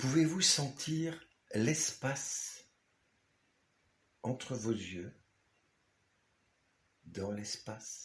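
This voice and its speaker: Speaking very slowly with long, frequent pauses, a man at medium pitch has a calm, somewhat breathy tone and lively intonation. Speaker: author. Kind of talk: guided meditation. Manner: slow, calm.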